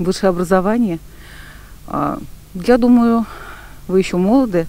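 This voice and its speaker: A woman's ordinary pitch variation is heard with noticeable background noise around her. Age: old. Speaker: street interview respondent, retiree. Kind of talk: street vox pop interview.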